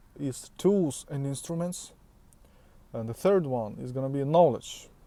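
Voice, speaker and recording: This man talks at a fairly slow pace with a fairly high pitch. His tone is dark and mellow, and his intonation is lively. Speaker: self-improvement vlogger. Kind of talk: motivational talk to camera. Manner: halting, with many fillers and restarts.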